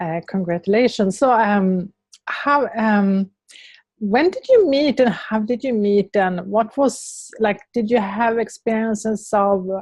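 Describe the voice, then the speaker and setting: At a fairly slow pace, a woman with a Swedish accent speaks in a fairly high, somewhat breathy voice with ordinary pitch variation. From Sweden. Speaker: interviewer. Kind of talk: interview.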